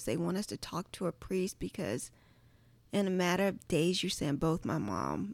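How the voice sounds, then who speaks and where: In a Southern US accent, a woman at a medium pitch speaks at a moderate pace with vocal fry and ordinary pitch variation, in a very clean, dry, close recording with a silent background and no echo. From Virginia (Charles City County). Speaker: creative and church worship artist. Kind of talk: casual chat.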